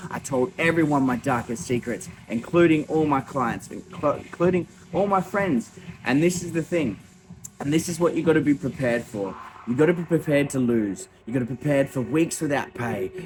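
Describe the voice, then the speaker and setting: With an Australian accent, a man speaks at a fairly high pitch in an animated tone with lively intonation. Noticeable background noise sits behind him. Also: fairly quick pace. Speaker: small business owner and vlogger. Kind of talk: motivational talk to camera. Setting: gym at night. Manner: animated, emphatic.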